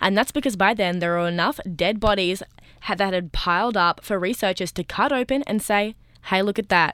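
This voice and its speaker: A woman with an Australian accent speaks at a moderate pace. The recording is very clean, with a silent background. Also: medium pitch for a woman, ordinary pitch variation. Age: young. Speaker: community radio co-host. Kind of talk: casual chat.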